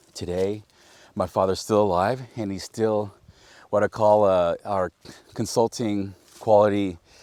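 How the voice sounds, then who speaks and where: A dry, close sound with no echo carrying a man's dark, mellow tone. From Napa Valley, California. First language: Spanish. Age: 50s. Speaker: vineyard owner. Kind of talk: casual storytelling interview. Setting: outdoors in a vineyard.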